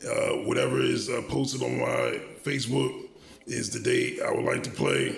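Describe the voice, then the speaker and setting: A man speaking at a fairly slow pace, with noticeable background noise and audible room echo. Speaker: vlogger. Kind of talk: monologue. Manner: halting, many filler words.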